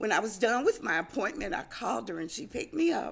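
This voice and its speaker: A woman speaks with vocal fry. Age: 60s. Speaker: former shelter resident, property manager. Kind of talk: testimony.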